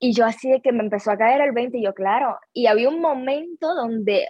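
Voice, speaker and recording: A woman's high voice rises and falls in a typical way as she talks at a medium tempo. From Cuba. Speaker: actress. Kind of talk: interview.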